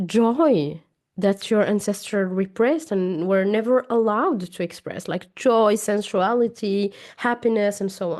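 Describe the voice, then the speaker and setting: A woman's medium-pitched voice at a fairly slow pace, with ordinary pitch variation over a quiet background. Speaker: trauma therapist and coach. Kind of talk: educational talk to camera. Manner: occasional halting and self-corrections.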